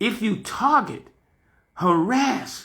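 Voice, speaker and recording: A loud, animated man speaks at a high pitch, his voice swinging very widely up and down. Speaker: fired railroad conductor and channel host. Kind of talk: personal rant video.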